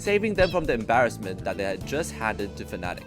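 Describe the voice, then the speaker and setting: A man talks at a very fast pace with music playing in the background. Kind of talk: esports history narration. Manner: casual, humorous.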